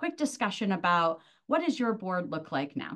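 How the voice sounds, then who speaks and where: Against a quiet background, a woman at medium pitch makes very wide swings in her pitch. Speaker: presenter. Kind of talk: webinar presentation. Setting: video call.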